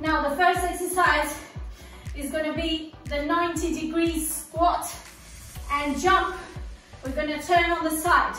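Over faint music in the background, a woman uses a raised, projected voice with monotone, flat intonation and audible room echo. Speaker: fitness instructor. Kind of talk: workout instruction. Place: gym. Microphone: camera far.

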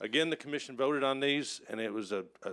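Ordinary pitch variation runs through a man's speech at a moderate pace. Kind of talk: public meeting presentation. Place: hall. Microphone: podium.

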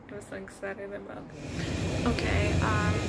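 A woman talks very slowly, with loud noise in the background. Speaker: travel vlogger. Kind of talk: casual vlog chat. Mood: excited, cheerful. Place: train. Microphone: phone near.

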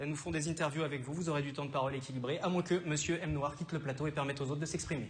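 A man rattles off words at a very fast pace with hardly any pauses, his fairly high voice flat and monotone. Light background noise sits underneath. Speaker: TV debate moderator. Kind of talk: televised political debate. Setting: TV studio. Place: studio. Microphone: lapel.

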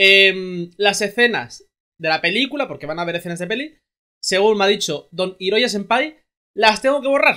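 The man's voice is high-pitched, bright and sharp. He talks at a moderate pace with ordinary pitch variation.

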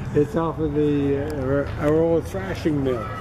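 A man at a fairly slow pace with crowd noise in the background. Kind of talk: informal explanation to visitor. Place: tent. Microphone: phone near.

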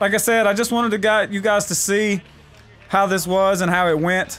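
An animated tone at a fairly quick pace over music in the background. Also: man. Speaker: gaming YouTuber. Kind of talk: casual gaming commentary over tournament footage. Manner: animated, excitable, shouting play-by-play as the match ends; fast, jumpy, stumbling over words.

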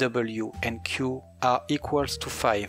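Music in the background behind a man at medium pitch with lively intonation. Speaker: game developer / shader tutorial maker. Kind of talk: programming tutorial narration.

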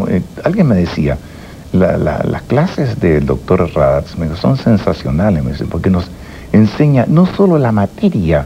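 Music plays in the background as a man speaks at a fairly slow pace. His pitch is very deep and low, with very wide swings. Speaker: interview guest. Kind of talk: interview answer, conversational. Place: studio.

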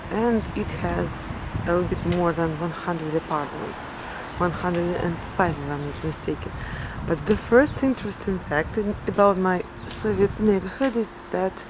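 A woman's fairly low voice at a fairly slow pace, dry with no echo, amid noticeable background noise. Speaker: vlogger. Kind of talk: casual vlog chat. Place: street. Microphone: phone near.

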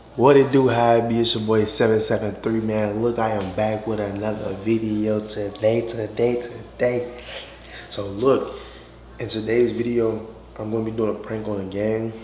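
With audible room echo and light background noise, a man speaks at a fairly slow pace in monotone, flat intonation. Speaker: vlogger. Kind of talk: casual vlog chat. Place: bathroom. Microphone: camera far.

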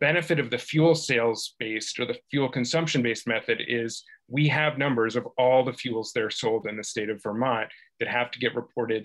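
Over a quiet background, a man speaks at a fairly quick pace with fairly even intonation. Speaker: subcommittee member. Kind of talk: formal committee meeting. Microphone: video call.

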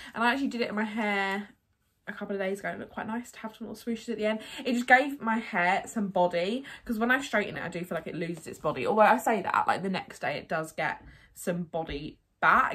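A woman at a very fast pace, with lively intonation. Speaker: haul vlogger. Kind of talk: casual vlog chat. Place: home room. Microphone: phone near.

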